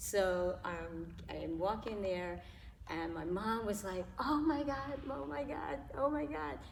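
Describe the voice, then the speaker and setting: Vocal fry at a very slow pace, with very wide pitch swings and audible room echo. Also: woman, medium pitch for a woman. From New York (Harlem), later California. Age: 70s. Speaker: interview guest. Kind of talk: casual interview, personal testimony. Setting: local gym.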